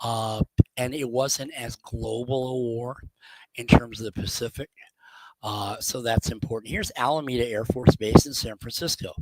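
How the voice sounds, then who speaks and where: Using an ordinary speaking voice with an American accent, a man speaks at a moderate pace and medium pitch, with fairly even intonation, big swings in loudness, and a dry, close sound with no echo. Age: 60s. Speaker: genealogy speaker. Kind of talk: lecture. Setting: video call. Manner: conversational.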